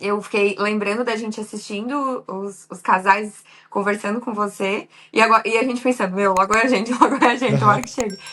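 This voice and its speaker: A plain, everyday voice from a woman at a fairly high pitch, fairly quick and fairly even in intonation, with big swings in loudness. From Santa Catarina, southern Brazil. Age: 30s. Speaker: makeup artist, visa applicant. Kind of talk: interview.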